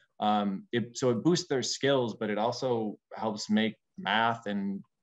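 This man's pitch sits in the medium range. He speaks with an American accent. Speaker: nonprofit executive. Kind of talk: legislative testimony. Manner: hesitant, frequent fillers.

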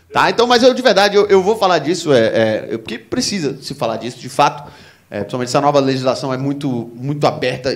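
Racing along at a very fast pace, a man speaks with lively intonation. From Recife, Brazil. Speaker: stand-up comedian. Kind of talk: stand-up comedy. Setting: stage with audience. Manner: animated, profane, self-deprecating. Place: stage. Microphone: handheld.

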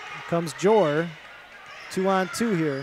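The recording is dry, without echo. A man talks amid noticeable background noise. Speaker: play-by-play announcer. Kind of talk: sports commentary. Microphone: headset.

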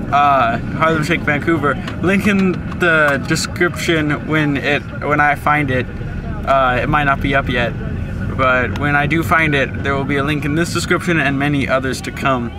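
A man speaks at a moderate pace. Noticeable background noise can be heard behind him. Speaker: vlogger. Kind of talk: casual vlog chat. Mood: cheerful. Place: car. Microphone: phone near.

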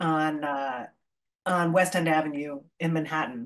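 The speaker uses a plain, everyday voice at a fairly slow pace with ordinary pitch variation against a quiet background. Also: woman. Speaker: history professor and author. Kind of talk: academic talk. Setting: video call. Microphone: webcam.

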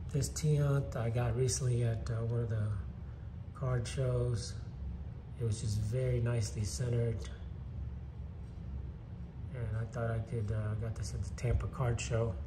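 A man's fairly low voice amid noticeable background noise. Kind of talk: casual show-and-tell commentary. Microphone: phone near.

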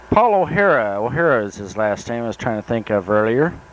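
Noticeable background noise accompanies a man speaking at a moderate pace with a fairly low pitch. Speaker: Navy veteran narrating home movies. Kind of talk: narration over old films. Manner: halting, many fillers.

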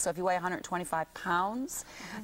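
This woman's voice sits at a fairly low pitch with ordinary variation. She keeps a moderate pace. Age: 50s. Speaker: naturopath and skincare company CEO. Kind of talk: TV morning show interview. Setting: TV studio. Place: studio.

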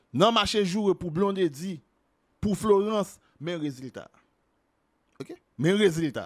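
At a very slow pace, a man with a high pitch speaks with long, frequent pauses and big swings in loudness. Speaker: video commentator on celebrity gossip. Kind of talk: angry rant, gossip commentary.

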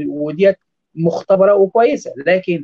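A man talks in a high pitch with ordinary pitch variation. The background is quiet. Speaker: nutrition specialist doctor. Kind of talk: expert interview. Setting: video call from Doha. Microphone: webcam.

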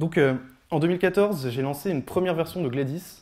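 Against a quiet background, the voice has a dark, mellow tone and ordinary pitch variation. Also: man. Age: 20s. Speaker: software developer giving a tech talk; speaker. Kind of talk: presentation talk. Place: hall. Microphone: handheld.

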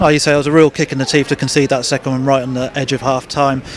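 Over faint background noise, a man speaks at a very fast pace with little pitch movement. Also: medium pitch for a man.

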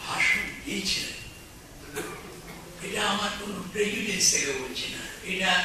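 A man's voice carries strong room echo along with noticeable background noise. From West Bengal, India. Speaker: politician and lawyer. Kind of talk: public speech. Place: hall. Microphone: pa.

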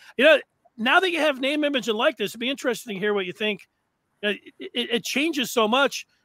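A man projects his voice at an extremely high pitch, bright and sharp in tone. He talks fairly quickly with lively intonation, and the sound is dry with no echo. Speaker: sports podcast host. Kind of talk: sports talk show. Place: home room. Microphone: headset.

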